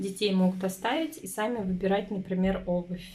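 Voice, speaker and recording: A woman's voice comes across as somewhat breathy, with a dark, mellow tone. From Ufa, Russia. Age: 20s. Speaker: stay-at-home mother and family vlogger. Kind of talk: casual talk to camera.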